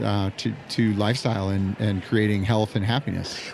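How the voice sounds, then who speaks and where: A man talks at a moderate pace in a fairly low pitch with fairly even intonation over noticeable background noise. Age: 60s. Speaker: pickleball club owner. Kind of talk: interview. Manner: halting.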